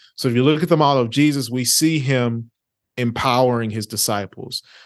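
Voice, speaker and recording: Against a quiet background, a man of medium pitch talks at a moderate pace with ordinary pitch variation. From East Texas (Orange), born in Louisiana. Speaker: real estate investor and business consultant. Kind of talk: interview.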